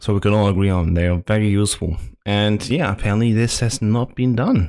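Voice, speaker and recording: In a German accent, a dark, mellow voice speaks at a moderate pace with ordinary pitch variation. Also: man. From Germany. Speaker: gaming youtuber. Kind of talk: video commentary. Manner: halting.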